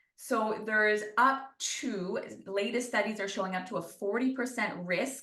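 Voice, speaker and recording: In a room with audible echo, a woman with a fairly high pitch and a bright, sharp tone speaks at a moderate pace with fairly even intonation. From New Brunswick, Canada. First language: French. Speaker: sports nutritionist. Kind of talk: interview Q&A.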